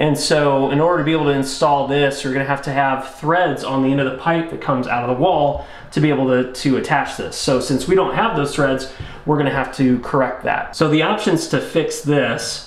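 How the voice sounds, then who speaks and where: Against audible room echo, a man talks at a fairly quick pace with fairly even intonation. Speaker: presenter. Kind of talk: tutorial. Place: bathroom.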